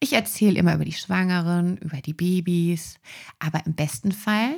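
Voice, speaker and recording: A woman's somewhat breathy, fairly low-pitched voice with lively intonation, on a very clean recording with a silent background. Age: 20s. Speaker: osteopathic practitioner and podcast host. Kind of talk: solo podcast monologue.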